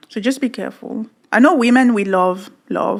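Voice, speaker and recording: A woman with a fairly high pitch and a non-native accent. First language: not English. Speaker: podcast co-host. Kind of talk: casual chat.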